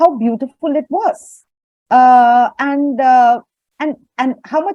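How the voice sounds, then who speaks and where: A woman's high-pitched voice with a Tamil accent, dark and mellow in tone, at a very slow pace with ordinary pitch variation, dry and close with no echo, over a quiet background. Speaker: audience member asking a question. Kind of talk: Q&A comment.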